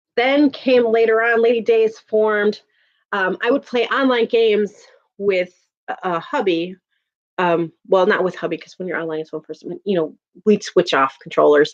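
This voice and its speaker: A woman talks at a moderate pace and medium pitch in a strong Chicago accent, her intonation lively and her loudness swinging widely. The sound is dry and close with no echo. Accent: thick Chicago. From Chicago, US Midwest. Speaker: YouTuber. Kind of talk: casual chat. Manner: animated.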